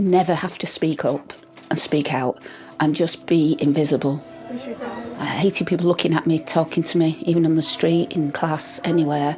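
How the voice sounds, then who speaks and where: With music in the background, a woman speaks at a moderate pace in a very deep, low voice with fairly even intonation. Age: 60s. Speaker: retired teacher and spoken-word poet. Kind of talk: documentary interview.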